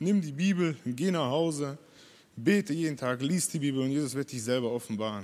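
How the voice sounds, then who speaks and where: A man with a fairly high pitch talks at a fairly quick pace with ordinary pitch variation. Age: 20s. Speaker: church member. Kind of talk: testimony. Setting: church service. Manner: halting.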